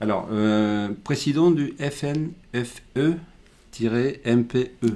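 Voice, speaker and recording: A man's dark, mellow voice at medium pitch, very slow, with ordinary pitch variation. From Chile. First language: Spanish (speaking French). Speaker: company director, webinar host. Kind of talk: webinar interview. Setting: online webinar.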